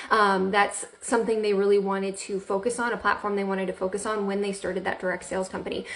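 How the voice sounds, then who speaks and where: A woman speaks with an American accent in a monotone, flat intonation. Noticeable background noise runs behind her. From Central Florida, US. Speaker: direct sales director and trainer. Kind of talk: live video training. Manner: casual, many fillers.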